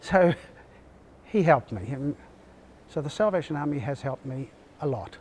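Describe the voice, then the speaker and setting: Speaking in an Australian accent at a moderate pace, a man with a fairly high pitch uses lively intonation and takes long, frequent pauses. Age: 70s. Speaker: army veteran. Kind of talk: interview answer.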